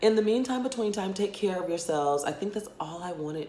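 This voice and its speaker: A woman speaks in an animated tone with very wide pitch swings. Room echo is audible, along with noticeable background noise. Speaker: YouTuber reviewing films. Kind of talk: casual vlog review. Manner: fast.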